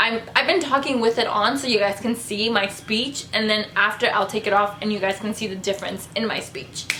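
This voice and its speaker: Over noticeable background noise, a woman talks at a fairly quick pace. Her voice is fairly high with ordinary pitch variation. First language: not English. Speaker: beauty vlogger. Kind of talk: casual vlog talk to camera. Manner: halting, gets tongue-tied.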